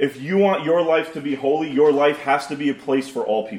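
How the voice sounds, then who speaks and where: Over noticeable background noise, the talking moves fairly quickly, its pitch varying in an ordinary way. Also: man. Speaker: pastor. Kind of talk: sermon. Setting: church.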